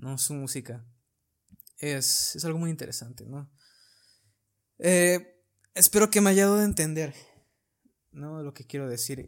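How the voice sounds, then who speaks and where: A man at a fairly high pitch with ordinary pitch variation, a fairly slow pace and long, frequent pauses. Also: big swings in loudness. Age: 20s. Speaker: flautist and podcast host. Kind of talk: casual chat.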